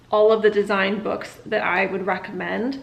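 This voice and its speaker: Amid noticeable background noise, a woman speaks in a fairly high pitch. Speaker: interior designer vlogger. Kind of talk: casual vlog. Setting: outdoors on a walk. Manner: casual, filler-heavy.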